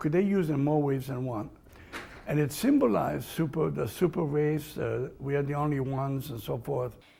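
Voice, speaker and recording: A man's fairly high, somewhat breathy voice with a dark, mellow tone, fairly quick pace and ordinary pitch variation. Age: 80s+. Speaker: Holocaust survivor. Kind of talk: interview. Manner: halting.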